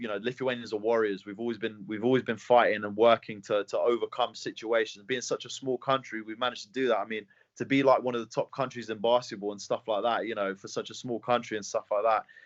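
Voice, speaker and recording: In an English accent, a man at a medium pitch races along at a very fast pace with hardly any pauses, his intonation monotone and flat while his loudness swings widely. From England. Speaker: mixed martial arts fighter. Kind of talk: interview. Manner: fast, halting with repeated words.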